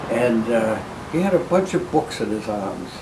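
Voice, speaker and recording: A man with a Boston accent speaks at a medium pitch with lively intonation. Audible room echo and noticeable background noise surround his voice. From Boston area, Massachusetts. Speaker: retired law librarian and law professor. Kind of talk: oral history interview. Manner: halting, many fillers.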